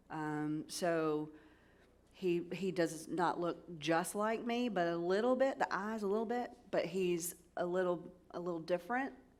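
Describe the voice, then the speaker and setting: A woman talks in a Southern US accent, fairly low in pitch and at a fairly slow pace. Her intonation is lively, and room echo is audible. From US South. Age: 50s. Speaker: cybersecurity executive advisor. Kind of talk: conference keynote talk. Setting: stage with audience. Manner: animated.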